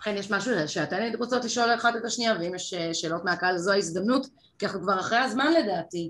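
Her pitch is medium. The woman speaks very fast. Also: ordinary pitch variation. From Israel, kibbutz. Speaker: panel moderator, TV consumer reporter. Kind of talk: moderated panel discussion. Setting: event with online audience.

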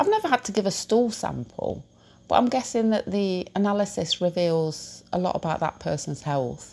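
A woman talks with a British accent. The recording is very clean, with a silent background. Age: 50s. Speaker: podcast host. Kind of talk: personal monologue. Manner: halting.

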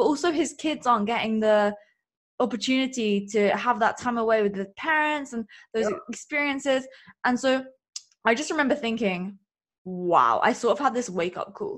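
A woman speaks in an animated tone at a high pitch and a moderate pace. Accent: English. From England. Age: 20s. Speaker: business coach and podcaster. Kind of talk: interview.

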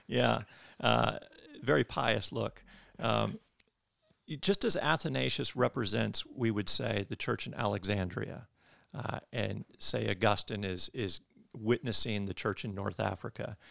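A man with an American accent speaks at a fairly slow pace in a dry, close sound with no echo. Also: very clean recording, silent background. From Michigan. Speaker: theology professor and pastor. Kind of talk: interview on church history.

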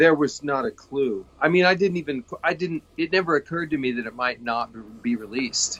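Speaking with an American accent and a plain, everyday voice, a man goes at a fairly quick pace with lively intonation and a fairly high pitch, in a dry, close sound with no echo. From Kansas. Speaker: actor. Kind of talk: interview.

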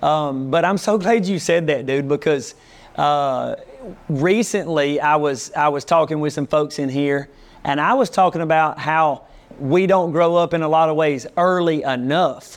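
A man with a Southern US accent speaks at a fairly slow pace, his pitch fairly high with ordinary variation. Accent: Southern US (Georgia). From US South. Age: 40s. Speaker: pastor and barber. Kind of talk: casual chat. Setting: barbershop.

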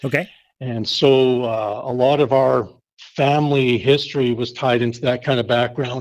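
With a strong Canadian accent, a man speaks at a medium pitch and moderate pace with fairly even intonation. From Canada, Winnipeg, Manitoba. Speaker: pastor. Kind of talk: casual interview chat.

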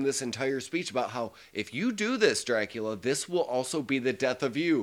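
On a very clean recording with a silent background, a man with an American accent speaks at a moderate pace. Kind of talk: casual chat. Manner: loud.

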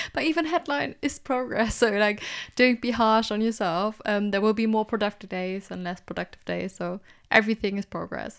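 A woman with a non-native accent, fairly high pitch, ordinary pitch variation and moderate pace, in a very clean recording with a silent background. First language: not English. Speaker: podcast co-host, PhD graduate. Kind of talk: casual chat. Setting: home recording with laundry hung up.

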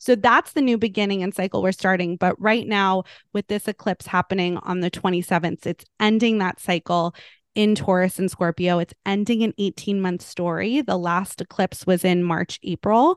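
In a plain, everyday voice, a woman speaks at a moderate pace and medium pitch with fairly even intonation, the sound dry and close with no echo over a quiet background. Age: 30s. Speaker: podcast co-host. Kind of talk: interview, casual chat.

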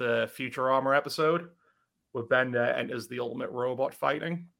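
In a British accent, a man speaks at medium pitch with a bright, sharp tone and ordinary pitch variation. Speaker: podcast host. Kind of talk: casual banter podcast. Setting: live stream.

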